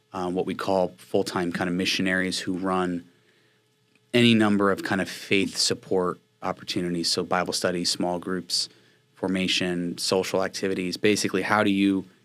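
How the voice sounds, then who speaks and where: A man with an American accent speaks in a very deep, low voice with monotone, flat intonation. The recording is very clean, with a silent background. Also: moderate pace. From northeast New Jersey (Watchung). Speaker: faith-based campus ministry missionary. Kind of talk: interview conversation.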